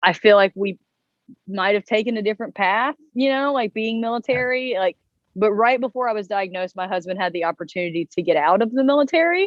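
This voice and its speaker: With a Southern US accent, a woman talks at a very fast pace in a fairly high voice with lively intonation. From US South, North Carolina. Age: 30s. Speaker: interviewee living with chronic illness. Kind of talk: interview.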